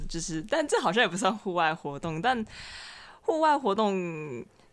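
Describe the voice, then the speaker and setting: A woman's normal speaking voice with lively intonation at a moderate pace. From Taiwan, Xinzhuang. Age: 20s. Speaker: university student. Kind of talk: casual chat.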